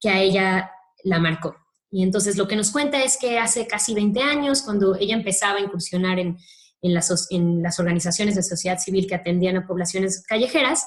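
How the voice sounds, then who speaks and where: Somewhat breathy and medium in pitch, a woman speaks at a fairly quick pace with ordinary pitch variation and very even loudness. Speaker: speaker at a human rights training talk. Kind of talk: lecture. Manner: fast.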